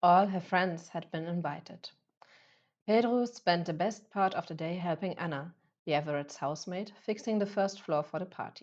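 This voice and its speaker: A woman with a non-native accent talks at a moderate pace over a quiet background. Her pitch is fairly low, with ordinary variation. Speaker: author reading own novel. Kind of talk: audiobook fiction reading. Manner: occasional stumbles over words.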